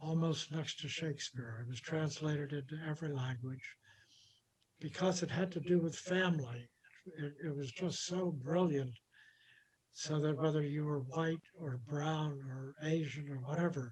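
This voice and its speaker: A somewhat breathy man's voice, fairly high in pitch, with fairly even intonation. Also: moderate pace. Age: 80s+. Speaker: documentary executive producer. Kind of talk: interview conversation.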